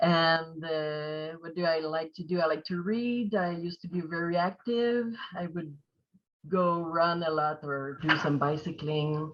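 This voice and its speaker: Speaking at a fairly slow pace, a woman in a French Canadian accent keeps a fairly low pitch with ordinary pitch variation. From Quebec. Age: 30s. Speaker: patient. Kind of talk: interview.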